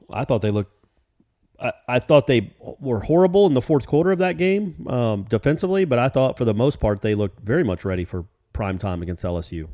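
A man with a slight Southern US accent speaks at a very fast pace, his medium pitch making very wide swings, with a dark, mellow tone and a dry, close sound with no echo. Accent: slight Southern twang. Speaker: sports podcast co-host. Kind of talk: casual sports chat.

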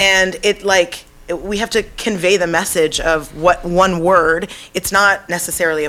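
A woman with an ordinary speaking voice talks at a fairly slow pace, her fairly low pitch held in fairly even intonation. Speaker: guest sharing fitness story. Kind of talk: casual chat.

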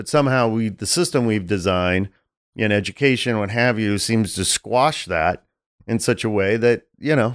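Over a silent background, this very clean recording captures a man with an unremarkable speaking voice. His medium pitch shows ordinary variation, and his pace is moderate. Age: 40s. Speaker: podcast host. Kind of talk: casual chat.

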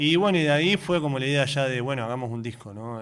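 With a normal speaking voice, the man keeps a fairly quick pace and his pitch moves in an ordinary way. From Argentina, Tierra del Fuego and Neuquén. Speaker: folk guitarist and songwriter. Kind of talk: radio interview.

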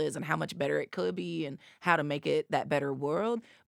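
A woman talks at a fairly quick pace in an American accent, with vocal fry on a very clean recording with a silent background. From US South, East Tennessee. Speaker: nonprofit executive director. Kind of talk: interview.

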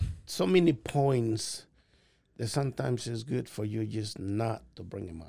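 With a Mexican accent, a man at medium pitch speaks fairly slowly in a somewhat breathy, dark and mellow tone, his intonation lively and his loudness swinging widely. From Mexico (Puebla). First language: Spanish. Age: 50s. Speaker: restaurant owner. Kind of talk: casual interview.

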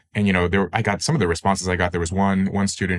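A man speaks in a flat monotone with an American accent. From Northern California. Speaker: writer and memoirist. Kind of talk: interview conversation.

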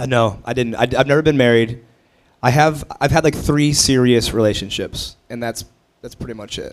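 With an unremarkable speaking voice, a man of medium pitch keeps a moderate pace. His intonation is fairly even, though his loudness swings widely. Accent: American. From Ohio, US Midwest. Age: 30s. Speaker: comedian. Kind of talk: casual chat. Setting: stage with audience.

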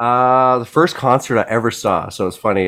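A man speaks with a Canadian accent in a normal speaking voice. His pace is moderate and his pitch medium. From British Columbia, Canada. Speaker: musician. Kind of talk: casual chat.

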